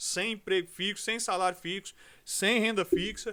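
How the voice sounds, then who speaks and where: Over a very clean recording with a silent background, a man speaks in a raised, projected voice with a bright, sharp tone, fairly slow pace and ordinary pitch variation. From Brazil, Rio de Janeiro. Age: 40s. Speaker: pastor. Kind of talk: podcast interview.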